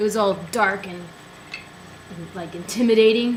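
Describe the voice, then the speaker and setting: With a slight Western US accent, a woman speaks at a moderate pace with fairly even intonation, over noticeable background noise and audible room echo. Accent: slight Western twang, bright vowels. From New Mexico. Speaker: college music instructor. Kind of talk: casual chat.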